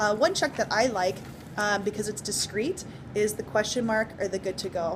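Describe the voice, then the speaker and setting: Here a woman speaks at a fairly quick pace in a fairly high voice, her pitch varying in an ordinary way. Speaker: teacher. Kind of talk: spoken assignment summary. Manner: fast; hesitant with many fillers.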